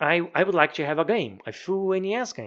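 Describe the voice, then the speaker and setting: With a Brazilian Portuguese accent, a man talks at a fairly quick pace. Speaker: professor and hobby game programmer. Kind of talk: devlog narration. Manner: halting, frequent word repetitions.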